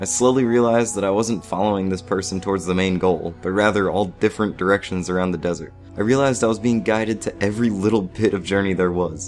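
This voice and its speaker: A very fast, fairly low-pitched male voice with fairly even intonation, set against music in the background. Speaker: video game reviewer. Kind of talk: game review narration.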